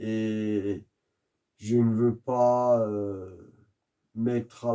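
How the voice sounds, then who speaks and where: A man's medium-pitched voice, dark and mellow, in a flat monotone. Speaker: YouTuber, religious commentator. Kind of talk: monologue rant. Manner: slow, soft-spoken.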